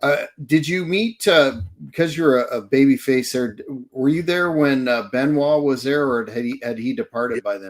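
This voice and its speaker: Lively intonation and big swings in loudness from a man with a fairly high pitch, a moderate pace and a slight Canadian accent. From Canada. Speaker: podcast host. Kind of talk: podcast interview. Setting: live podcast.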